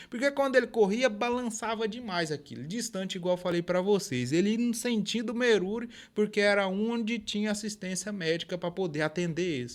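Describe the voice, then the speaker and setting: This man's pitch is high, with ordinary variation, and he moves at a fairly quick pace with hardly any pauses. The recording is very clean, with a silent background. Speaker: rural storyteller. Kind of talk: folksy oral storytelling. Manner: informal, conversational.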